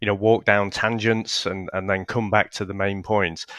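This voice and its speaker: Against a quiet background, a man with a British accent speaks at a moderate pace in a fairly low-pitched, bright, sharp tone with monotone, flat intonation. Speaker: podcast co-host. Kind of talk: interview.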